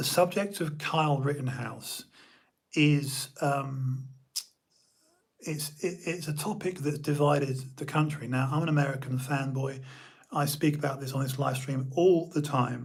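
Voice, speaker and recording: Against audible room echo, a man with a British accent speaks at a fairly high pitch and a fairly slow pace in a somewhat breathy voice. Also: fairly even intonation. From United Kingdom. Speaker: live stream host. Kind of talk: casual live stream monologue. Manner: halting, many fillers.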